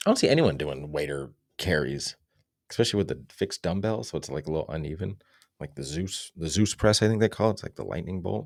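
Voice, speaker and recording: A man speaks very fast in a very deep, low voice with vocal fry, his intonation lively and his loudness swinging widely. The recording is very clean, with a silent background. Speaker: fitness coach. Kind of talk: sales pitch. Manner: casual.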